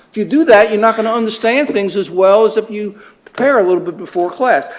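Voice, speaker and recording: A high-pitched man at a very fast pace, with ordinary pitch variation and noticeable background noise. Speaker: professor. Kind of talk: lecture. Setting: classroom with students. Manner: halting, many fillers and repeats.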